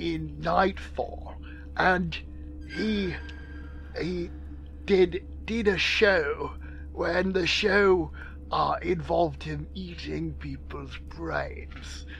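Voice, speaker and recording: A put-on character voice at a very slow pace over clear music in the background. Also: man. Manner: rambling, childishly insistent.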